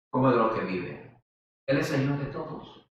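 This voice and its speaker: A man's voice comes with audible room echo. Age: 70s. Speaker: preacher. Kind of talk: sermon.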